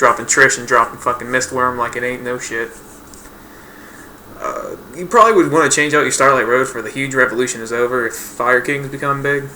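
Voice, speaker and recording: This man talks at a fairly quick pace with a medium pitch and fairly even intonation. There is noticeable background noise. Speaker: gaming YouTuber. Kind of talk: casual tutorial voice-over. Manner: casual, hesitant with fillers.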